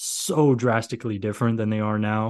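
Over a quiet background, a man speaks in a fairly low pitch with monotone, flat intonation. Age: 30s. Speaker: podcast host, football analyst. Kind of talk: solo podcast recap. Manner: casual, many filler words.

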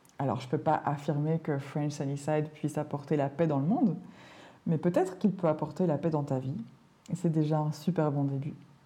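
A woman speaks at a moderate pace in a very deep, low voice, somewhat breathy. Her tone is gentle and soothing, dark and mellow. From Belgium. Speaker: language teacher and podcaster. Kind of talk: podcast monologue for learners. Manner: clear and measured; gentle, soothing.

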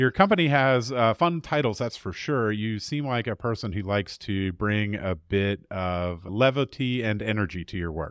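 On a very clean recording with a silent background, a man speaks in a normal speaking voice at a fairly low pitch. His intonation is lively and his pace moderate. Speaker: podcast host and mediator. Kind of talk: interview conversation.

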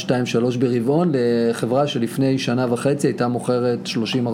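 A man talks at a medium pitch with fairly even intonation. Audible room echo and noticeable background noise surround him. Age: 30s. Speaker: podcast co-host, marketing consultant. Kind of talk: casual chat.

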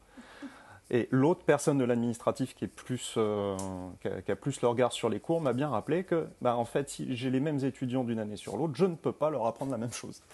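A man with a dark, mellow tone speaks at a fairly quick pace against a quiet background. His medium pitch shows ordinary variation. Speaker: screenwriter and university teacher. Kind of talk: casual chat. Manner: halting.

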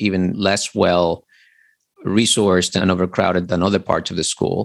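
A man's very deep, low-pitched voice. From Dominican Republic. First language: Spanish. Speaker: literature lecturer. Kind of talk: interview conversation.

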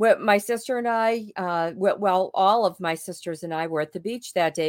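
The background is silent and the recording very clean. A woman talks at medium pitch and medium tempo in an ordinary speaking voice, her pitch varying normally. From Boston. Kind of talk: storytelling.

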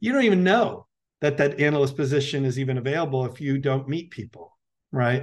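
A man's normal speaking voice, fairly high in pitch with lively intonation, over a quiet background. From United States (born in Colombia, moved young). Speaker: venture capital investor. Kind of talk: interview.

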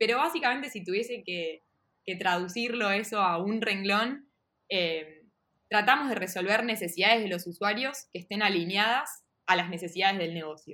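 Her voice is an unremarkable speaking voice, a woman at medium pitch with ordinary pitch variation and a moderate pace. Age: 30s. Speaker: product manager. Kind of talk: interview. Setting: video call.

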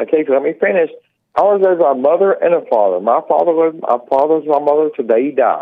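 At a very fast pace, a man speaks with very even loudness and ordinary pitch variation. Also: fairly high pitch for a man. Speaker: caller. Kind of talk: call-in. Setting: phone call. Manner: mumbling.

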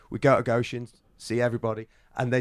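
A man with a northwest English accent, medium-pitched and monotone with flat intonation, at a fairly quick pace, on a very clean recording with a silent background and a dry, close sound with no echo. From northern England, Chester. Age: 40s. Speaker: BMX rider. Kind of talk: casual chat. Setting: in person.

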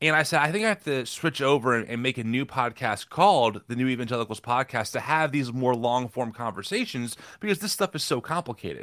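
An unremarkable speaking voice, this man's medium pitch and American accent come at a fairly quick pace with hardly any pauses and lively intonation on a very clean recording with a silent background. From New Jersey. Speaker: podcaster. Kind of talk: interview conversation.

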